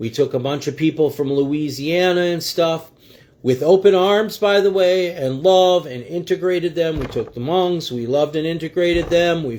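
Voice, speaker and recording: A man speaks in an animated tone. His pitch is high, with ordinary variation. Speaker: livestream commentator. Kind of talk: political commentary livestream. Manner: fast.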